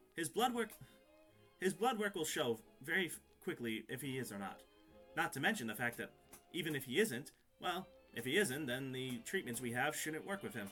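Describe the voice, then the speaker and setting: A man's put-on character voice with long, frequent pauses over clear music in the background. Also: medium pitch for a man, moderate pace. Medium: actual play. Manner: excited.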